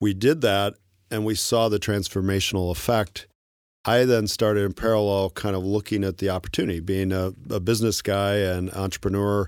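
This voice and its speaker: A man with a plain, everyday voice, fairly low in pitch, at a fairly quick pace with fairly even intonation, on a very clean recording over a silent background. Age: 50s. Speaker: tech company co-founder. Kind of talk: interview.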